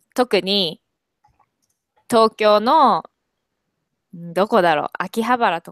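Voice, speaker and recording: A woman speaks very slowly at a medium pitch, her intonation lively, the sound dry with no echo and the background quiet. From Kobe, Japan. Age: 20s. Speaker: university student with part-time job. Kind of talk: casual language-practice conversation. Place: home room. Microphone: earbuds.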